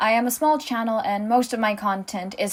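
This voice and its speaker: The recording is very clean, with a silent background. A woman talks at a fairly quick pace. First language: not English. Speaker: small animation content creator. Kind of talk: commentary monologue.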